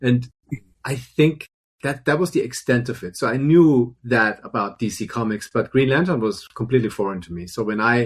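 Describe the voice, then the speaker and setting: With a German accent, a man talks at a moderate pace in a somewhat breathy voice. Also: medium pitch for a man, ordinary pitch variation. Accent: German accent, still noticeable. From Germany. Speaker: film and television composer. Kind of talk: interview conversation. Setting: live stream.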